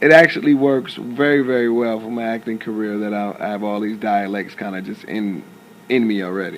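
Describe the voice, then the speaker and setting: Against noticeable background noise, a man with an American accent talks at a fairly quick pace and fairly low pitch, with ordinary pitch variation. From Southern California (Compton, Rialto). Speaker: actor. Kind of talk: interview.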